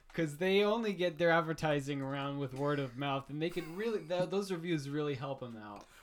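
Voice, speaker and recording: Speaking fairly quickly with an American accent, the voice runs on with hardly any pauses. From Missouri. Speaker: podcast co-host.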